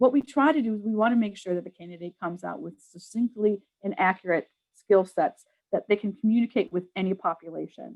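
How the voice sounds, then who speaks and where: A woman's medium-pitched voice with an American accent, at a fairly quick pace, with ordinary pitch variation and big swings in loudness. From New York. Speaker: public health program staff. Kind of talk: webinar presentation. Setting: online webinar. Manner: fast.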